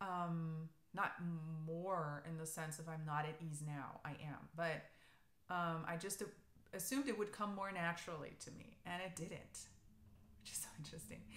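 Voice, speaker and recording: A woman speaks at a fairly low pitch and a moderate pace, with ordinary pitch variation. Room echo can be heard. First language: German. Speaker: knitting podcaster. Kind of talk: casual chat. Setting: alone in an empty room. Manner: hesitant, many fillers.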